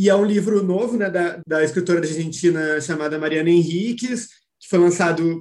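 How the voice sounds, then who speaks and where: Here a man speaks in a high pitch. His pace is moderate. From Porto Alegre, southern Brazil. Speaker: literature teacher and reading group mediator. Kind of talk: casual chat. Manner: animated.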